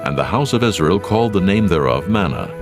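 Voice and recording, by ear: With clear music in the background, a man speaks fairly quickly in a low pitch, making big pitch swings.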